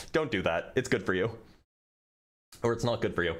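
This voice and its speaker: A man with an American accent at a very fast pace, pitch swinging very widely, on a very clean recording with a silent background. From American Southwest. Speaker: debate streamer. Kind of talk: livestream chat reading superchats. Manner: stutters frequently. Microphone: noise gate cutting out quiet audio.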